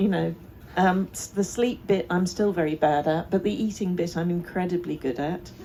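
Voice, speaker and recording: A woman talks in a plain, everyday voice with a fairly low pitch. Her pace is moderate and her pitch variation ordinary. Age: 60s. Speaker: festival co-founder and activist. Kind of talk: panel discussion.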